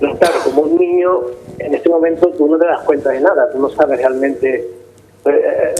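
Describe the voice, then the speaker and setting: A man talks with a fairly high pitch and ordinary pitch variation. There is noticeable background noise. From Gibraltar. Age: 60s. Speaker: interviewee. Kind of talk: interview. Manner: halting.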